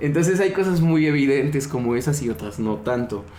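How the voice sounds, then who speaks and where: Lively intonation marks this speech. It is delivered at a fairly quick pace. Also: man. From Mexico, Yucatán. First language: Yucatec Maya (speaking Spanish). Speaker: linguist and Maya language teacher. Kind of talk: podcast discussion. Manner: halting, frequent fillers and repetitions.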